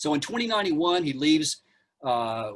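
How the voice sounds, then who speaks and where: A man talks at a fairly quick pace. His pitch is fairly high, with ordinary variation. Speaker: archaeology lecturer. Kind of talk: lecture. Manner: fast.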